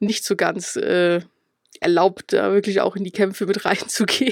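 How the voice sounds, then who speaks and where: In a very clean recording with a silent background, a woman speaks at a moderate pace. Her medium pitch stays monotone, with flat intonation. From Upper Palatinate, Bavaria (Schwandorf). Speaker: games journalist. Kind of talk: casual chat.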